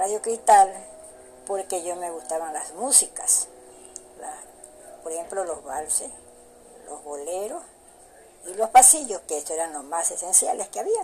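Over noticeable background noise, a woman speaks at a fairly slow pace and a medium pitch, with lively intonation, big swings in loudness and long, frequent pauses. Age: old. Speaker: grandmother interviewee. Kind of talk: interview.

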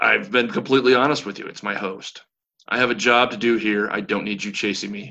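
In a raspy, put-on character voice, a man speaks fairly quickly at a fairly low pitch with ordinary pitch variation. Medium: actual play. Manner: calm, curt, businesslike.

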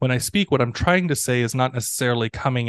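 Against a quiet background, a man with a medium pitch and a normal speaking voice talks at a fairly quick pace. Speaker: ESL professor. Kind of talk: interview conversation. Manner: casual, laughing, conversational.

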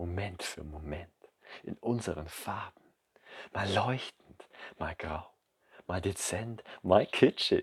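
The speech comes at a very slow pace, broken by long, frequent pauses, with ordinary pitch variation. The voice is somewhat breathy, and the sound is dry and close with no echo. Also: man, very deep, low pitch for a man, big swings in loudness. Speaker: poet and podcast host. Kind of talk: poetry slam performance, spoken word. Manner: rhythmic, measured, emotive delivery; intimate, direct address to the listener.

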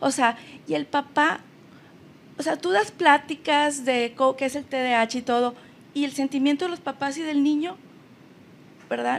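A woman speaks at a high pitch with ordinary pitch variation. Her pace is fairly slow, broken by long, frequent pauses. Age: 50s. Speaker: family counselor. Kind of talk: personal testimony in interview. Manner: halting, repeats words.

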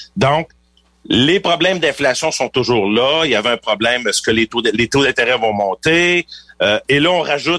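A man speaks at medium pitch and a moderate pace, with a bright, sharp tone and lively intonation. The sound is dry and close, with no echo. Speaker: financial planner. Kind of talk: radio interview.

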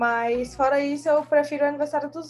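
Over noticeable background noise, a woman speaks at a fairly quick pace. Her pitch is high. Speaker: podcast co-host. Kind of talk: casual chat.

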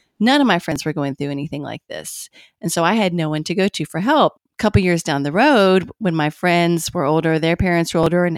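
In a very clean recording with a silent background and a dry, close sound with no echo, a woman with a fairly low pitch speaks at a very fast pace. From Kentucky, Bowling Green. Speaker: journalist and author. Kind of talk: interview.

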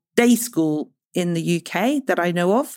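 A woman speaks at a medium pitch with lively intonation, her voice dry and close with no echo on a very clean recording against a silent background. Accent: British. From grew up partly in the Congo, British. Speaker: clinical psychologist and author. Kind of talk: interview conversation.

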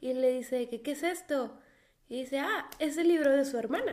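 Her pitch is high for a woman, with lively intonation. This woman speaks at a moderate pace. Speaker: podcast co-host. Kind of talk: casual chat. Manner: quiet, subdued.

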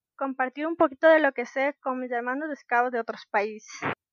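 The speaker is a woman. She has a high pitch. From Ecuador, Ambato (highlands). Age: 18. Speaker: scout rover, volunteer. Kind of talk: casual interview. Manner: animated.

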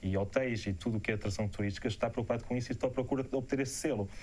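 Fairly even in intonation, this man's voice sits at a fairly low pitch. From Portugal. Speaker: professional photographer. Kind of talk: live interview Q&A. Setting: live broadcast. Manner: hesitant, with many repetitions.

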